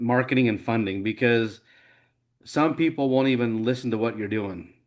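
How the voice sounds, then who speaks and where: Over a quiet background, a man with an American accent and an ordinary speaking voice talks at a moderate pace and medium pitch with ordinary pitch variation. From Idaho, US. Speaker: nonprofit founder. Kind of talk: interview.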